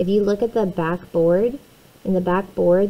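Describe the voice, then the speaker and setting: A woman speaks at medium pitch in a normal speaking voice, with fairly even intonation. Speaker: math teacher. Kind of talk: recorded lesson tutorial.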